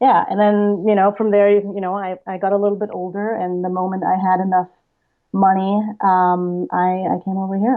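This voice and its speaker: Monotone, flat intonation marks a woman of medium pitch with a German accent, speaking at a moderate pace. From Bavarian-Austrian border, Germany. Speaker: TV writer. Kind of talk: interview.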